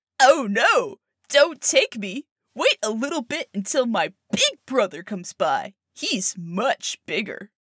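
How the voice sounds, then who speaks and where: The speaker uses a put-on character voice with a fairly high pitch and a fairly slow pace. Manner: pleading, nervous.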